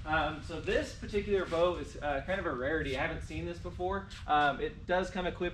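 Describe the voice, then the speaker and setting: Very fast speech from a man, with light background noise behind it. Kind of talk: product walkthrough tutorial. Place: garage. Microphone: camera far.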